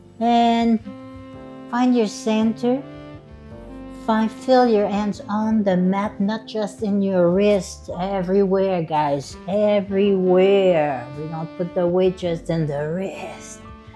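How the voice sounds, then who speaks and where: Music plays in the background as a woman at a medium pitch speaks very slowly, her tone playful and upbeat and her intonation lively. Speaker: yoga instructor. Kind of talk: guided yoga class. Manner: playful, upbeat.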